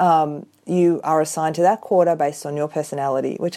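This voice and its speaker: A woman with an Australian accent speaks at a fairly quick pace. Her very deep, low pitch keeps fairly even intonation. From Australia (Sydney). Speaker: listener. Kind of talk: recorded voice message.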